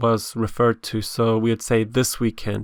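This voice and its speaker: Fairly slow and at medium pitch, a man talks in an ordinary speaking voice, captured in a very clean recording with a silent background and a dry, close sound with no echo. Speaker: English teacher. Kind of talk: educational lesson narration.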